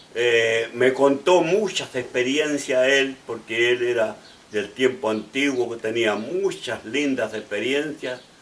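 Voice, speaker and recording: At a very slow pace, a man talks at a medium pitch with ordinary pitch variation over noticeable background noise. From Chile, Valparaíso region. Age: 80s+. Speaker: pastor and bishop. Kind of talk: testimony. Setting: at home. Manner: halting, with restarts.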